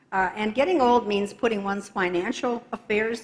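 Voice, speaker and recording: Noticeable background noise surrounds a woman whose voice is fairly high in pitch. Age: 70s. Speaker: church member, retired investigative reporter. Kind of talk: testimony. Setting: church. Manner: occasional hesitations.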